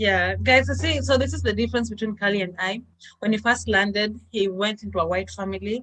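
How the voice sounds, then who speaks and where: Talking at a fairly quick pace, a woman speaks with a Kenyan accent. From Kenya, Kisumu. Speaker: international student, vlogger. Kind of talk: casual chat.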